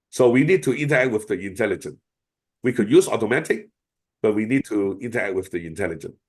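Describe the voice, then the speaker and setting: A man with a Chinese accent, medium pitch, lively intonation and a very fast pace over a quiet background. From China. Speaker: AI expert speaker. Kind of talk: webinar Q&A. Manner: hesitant, many fillers.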